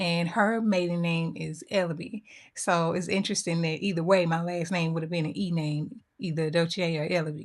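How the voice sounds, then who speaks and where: At a moderate pace and with hardly any pauses, a woman with an American accent talks in a fairly low pitch. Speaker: makeup YouTuber. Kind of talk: casual makeup chat to camera. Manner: animated.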